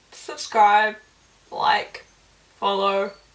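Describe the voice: The speaker is a woman with a fairly bright tone. Room echo is audible around her voice.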